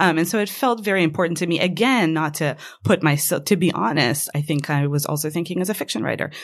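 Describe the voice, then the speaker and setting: A woman with fairly low pitch and lively intonation at a very fast pace. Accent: Israeli. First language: Hebrew. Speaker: fiction writer. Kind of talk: interview. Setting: studio.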